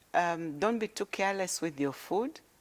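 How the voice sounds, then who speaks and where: A woman talks in an ordinary speaking voice at a moderate pace, her fairly low pitch carrying lively intonation on a very clean recording with a silent background. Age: 60s. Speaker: politician. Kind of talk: interview.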